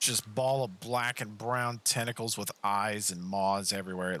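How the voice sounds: A natural reading voice with ordinary pitch variation.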